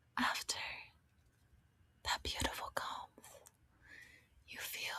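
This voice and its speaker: A woman speaks in a whisper. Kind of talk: ASMR soft-spoken travel roleplay. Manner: soft-spoken, whispery.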